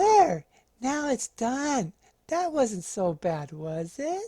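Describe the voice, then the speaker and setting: A man's put-on character voice, extremely high in pitch with very wide pitch swings and a very slow pace, in a dry, close sound with no echo and a very clean recording over a silent background. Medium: read story.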